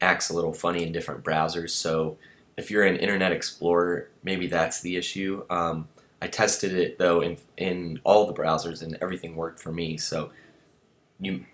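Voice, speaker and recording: A very deep, low-pitched man's voice, monotone and flat, at a moderate pace on a very clean recording with a silent background. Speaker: web template support person. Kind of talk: tutorial. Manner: hesitant, many fillers.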